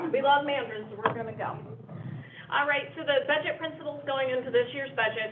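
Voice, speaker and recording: Noticeable background noise sits behind a woman with a high voice. She talks at a fairly quick pace with ordinary pitch variation. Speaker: district finance staff presenting budget. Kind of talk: board meeting presentation. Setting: public board meeting. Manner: fast.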